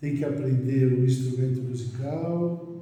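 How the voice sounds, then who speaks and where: A man's fairly high voice, with noticeable background noise and audible room echo. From Brazil, São Paulo (Mooca). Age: 70s. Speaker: physician. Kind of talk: interview.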